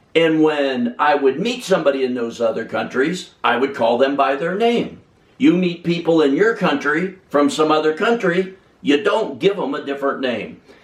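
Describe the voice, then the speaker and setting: Using a plain, everyday voice, a man speaks at a moderate pace with a fairly high pitch and lively intonation. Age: 60s. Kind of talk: personal testimony.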